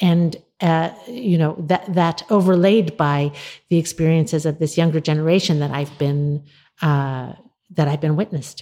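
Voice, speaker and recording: Her very deep, low voice has a dark, mellow tone, ordinary pitch variation and a moderate pace. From Australia and Canada. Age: 50s. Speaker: novelist. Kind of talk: interview. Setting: remote from New York City. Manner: halting, many repetitions.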